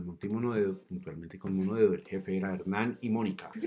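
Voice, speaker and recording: With noticeable background noise around him, a man talks in a fairly low, monotone voice with flat intonation. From Colombia, Cundinamarca (Suesca/Zipaquirá). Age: 30s. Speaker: mountain guide. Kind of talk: casual interview chat. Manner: hesitant, many fillers.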